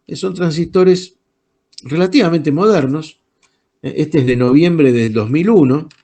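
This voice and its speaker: Speaking at a fairly slow pace, a man delivers his words with lively intonation. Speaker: electronics teacher. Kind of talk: online lecture. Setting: video call.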